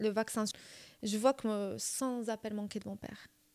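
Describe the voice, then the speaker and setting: A woman speaks at a fairly high pitch in a Moroccan accent. The recording is very clean, with a silent background. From Morocco. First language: Moroccan Arabic (speaking French). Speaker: podcast guest. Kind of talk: storytelling in casual chat.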